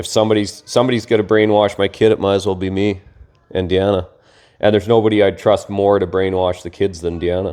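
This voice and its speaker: The man talks very fast in a monotone, flat voice. His pitch is fairly low, with a dark, mellow tone. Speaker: podcast co-host, homeschooling father. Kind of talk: casual chat. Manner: loud.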